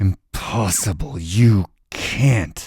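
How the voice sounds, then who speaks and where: In a put-on character voice, a man speaks with lively intonation. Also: fairly low pitch for a man. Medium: read story. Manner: menacing.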